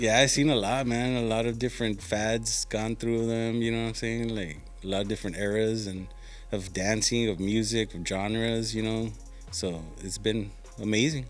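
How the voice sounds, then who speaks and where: A man talks in a South Texas accent while music plays in the background. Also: medium pitch for a man, fairly even intonation, moderate pace. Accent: South Texas Mexican-American English. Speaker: radio DJ. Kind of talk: interview answer. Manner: casual, mixes English and Spanish.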